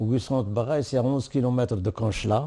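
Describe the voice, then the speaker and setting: A man's dark, mellow tone with an Arabic accent. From Algeria, Oued Souf. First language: Arabic (speaking French). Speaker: war veteran. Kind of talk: testimony. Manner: halting.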